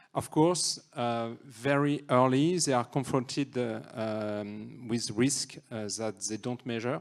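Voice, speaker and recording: A man's medium-pitched voice with a French accent, very slow pace, hardly any pauses and ordinary pitch variation on a very clean recording with a silent background. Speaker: NGO representative. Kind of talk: reading aloud. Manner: halting.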